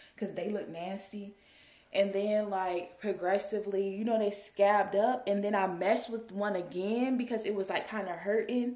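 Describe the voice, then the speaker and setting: A woman talks at a fairly quick pace with fairly even intonation. Room echo is audible. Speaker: vlogger. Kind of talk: casual vlog chat. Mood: relaxed, chatty, amused. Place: home room. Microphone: phone near.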